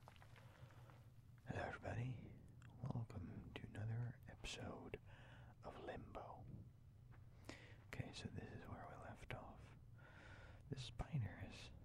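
Whispering at a fairly slow pace, with long, frequent pauses. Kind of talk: ASMR gaming let's play. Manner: whispered.

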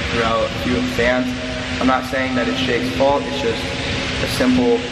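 There is loud background noise as a man talks at a fairly quick pace. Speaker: vlogger. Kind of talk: casual vlog chat. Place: home room. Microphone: phone near.

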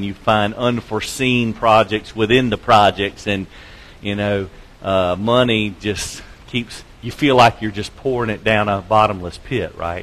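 A man speaks in a plain, everyday voice at a fairly slow pace. His pitch is fairly low, with fairly even intonation. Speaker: preacher. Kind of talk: sermon. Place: church.

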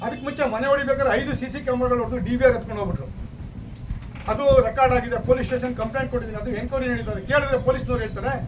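A man speaks in an extremely high pitch with monotone, flat intonation, with audible room echo and noticeable background noise. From Karnataka, India (Channapatna, Ramanagara). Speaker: landowner in dispute. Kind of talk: interview.

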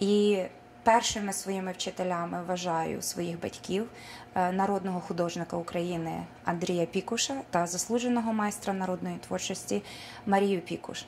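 A woman speaks at a moderate pace with fairly even intonation. Light background noise can be heard. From Ukraine, Petrykivka (Dnipropetrovsk region); Ukraine. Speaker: folk artist. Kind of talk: speech at school art show; on-camera self-introduction. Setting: school event, on camera. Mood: warm, formal. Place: hall. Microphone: camera far.

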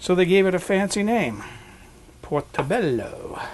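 Fairly slow delivery and lively intonation, noticeable background noise behind it. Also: man. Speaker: home cook. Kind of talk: cooking demonstration. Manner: calm, soft-spoken. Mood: friendly, relaxed, chatty. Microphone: lapel.

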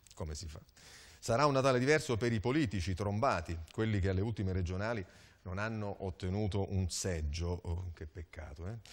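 A man's fairly low voice at a fairly quick pace, with lively intonation and big swings in loudness. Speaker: TV talk show host. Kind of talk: studio panel discussion. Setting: TV studio. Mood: ironic, playful. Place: studio. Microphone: lapel.

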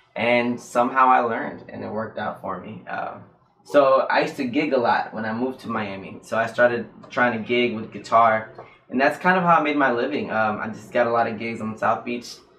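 A man at a fairly quick pace, ordinary pitch variation and big swings in loudness, with light background noise and audible room echo. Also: medium pitch for a man. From North Carolina. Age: 20s. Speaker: doctoral student and guitarist; guest. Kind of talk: casual interview. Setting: livestream. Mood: relaxed, animated. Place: studio.

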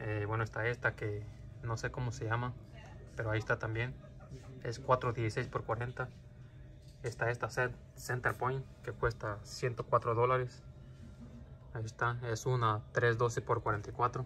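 Faint music plays behind a man speaking at a fairly slow pace. His intonation is flat and monotone, with long, frequent pauses. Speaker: airgun youtuber. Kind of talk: store walkthrough video. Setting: inside a store. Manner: loud. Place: shop. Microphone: phone near.

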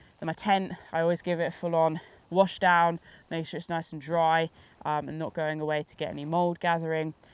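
With a British accent, a woman speaks in a fairly low, monotone, flat voice whose loudness swings a lot, recorded dry with no echo. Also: fairly quick pace. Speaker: outdoor adventurer and gear reviewer; gear reviewer. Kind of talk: casual gear review to camera. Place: open country.

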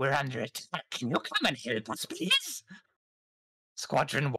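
Raspy and pitched low-to-middle, the put-on character voice moves at a moderate pace. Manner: urgent, alarmed.

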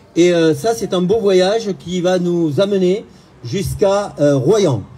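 The voice belongs to a man. His tone is dark and mellow. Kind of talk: public speech. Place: waterside. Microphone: camera far.

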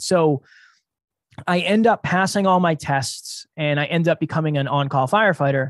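A man with a fairly high pitch and ordinary pitch variation at a moderate pace, in a dry sound with no echo and a quiet background. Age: 30s. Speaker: entrepreneur; podcast guest. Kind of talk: interview. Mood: reflective, earnest. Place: home room. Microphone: studio mic.

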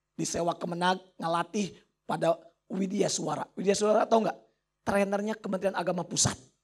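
Animated and fairly quick, a man talks at a high pitch. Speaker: motivational speaker and trainer. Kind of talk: motivational talk to students.

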